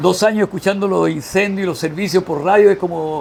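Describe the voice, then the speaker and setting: Noticeable background noise runs behind a man with a high voice. He speaks at a moderate pace with ordinary pitch variation. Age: 60s. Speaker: veteran volunteer firefighter. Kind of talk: interview.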